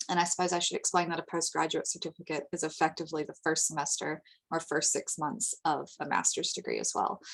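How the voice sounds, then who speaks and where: Talking at a very fast pace with hardly any pauses, a woman speaks in an American accent. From United States. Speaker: international education representative. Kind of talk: webinar presentation. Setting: online webinar.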